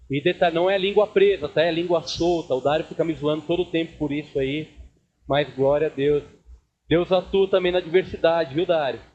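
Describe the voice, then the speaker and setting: His intonation remains fairly even. The man's pitch is high. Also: moderate pace. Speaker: pastor. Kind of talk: sermon. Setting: church service with congregation.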